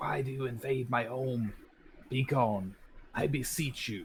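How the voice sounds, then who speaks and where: Put-on character voice from a man, delivered at a fairly slow pace. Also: medium pitch for a man. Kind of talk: archaic, formal. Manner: ghostly, pleading.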